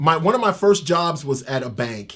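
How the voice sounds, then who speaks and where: A man speaks with an American accent. His pitch is fairly high. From Tampa, Florida. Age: 50s. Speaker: ex-convict. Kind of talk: interview. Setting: in-person interview. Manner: halting, repeats words.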